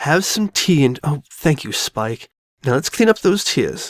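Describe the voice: A woman puts on a character voice, low in pitch with big pitch swings. She speaks at a fairly slow pace, and the sound is dry and close with no echo.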